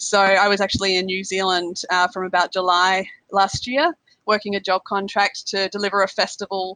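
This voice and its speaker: A woman speaks with an Australian accent in a bright, sharp tone and fairly even intonation. The sound is dry and close, with no echo. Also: medium pitch for a woman, moderate pace. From Australia, South Australia. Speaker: finance blogger and events worker. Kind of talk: podcast interview. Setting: international call.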